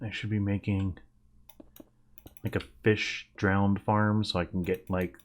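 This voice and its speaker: Quiet, fairly slow delivery. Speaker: gaming YouTuber. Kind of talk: gameplay commentary. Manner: quiet, hushed; casual, rambling with fillers.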